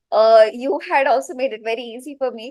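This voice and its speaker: A woman speaks with a Gujarati accent. Her intonation is fairly even and her pace moderate. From India, Mumbai. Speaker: teacher-training student. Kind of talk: interview.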